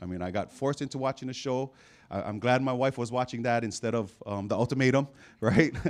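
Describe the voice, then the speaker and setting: Animated and lively in intonation, a man talks at a very fast pace. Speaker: football coach and preacher. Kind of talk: sermon. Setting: church stage with audience. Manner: call-and-response, coach-like. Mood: humorous, storytelling. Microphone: handheld.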